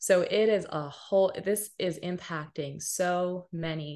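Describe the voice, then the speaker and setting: A woman is speaking. She has an American accent. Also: quiet background. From US West Coast, Pasadena, Los Angeles County. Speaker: nonprofit founder and director. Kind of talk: interview. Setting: video call.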